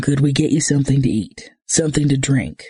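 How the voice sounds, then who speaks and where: A man uses a put-on character voice that is raspy and soft-spoken, at a fairly high pitch. He keeps a fairly quick pace, very even loudness and fairly even intonation. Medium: read story. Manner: kind, gentle.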